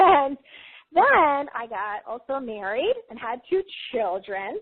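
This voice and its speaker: A high-pitched woman with an American accent, very slow pace and very wide pitch swings. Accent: New York accent, strong after recent visit. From US Northeast, Long Island, New York. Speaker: psychic healer and spiritual teacher. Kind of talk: interview, personal testimony. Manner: conversational, animated.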